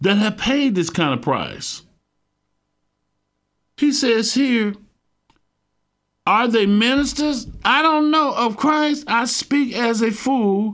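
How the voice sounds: Speaking slowly with long, frequent pauses, a man uses a gravelly, fairly bright, extremely high voice with big pitch swings, on a very clean recording with a silent background.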